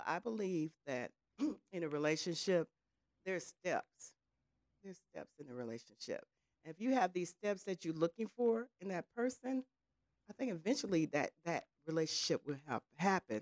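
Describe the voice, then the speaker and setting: Her fairly low-pitched voice moves at a moderate pace, with very wide pitch swings, big swings in loudness and long, frequent pauses, in a dry, close sound with no echo. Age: 60s. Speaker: podcast panelist. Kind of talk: casual chat.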